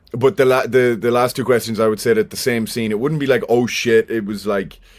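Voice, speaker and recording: In a Cork accent, a man talks at a very fast pace and a medium pitch. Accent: Irish, Cork. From Ireland, Cork. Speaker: actor. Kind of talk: podcast interview. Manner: animated.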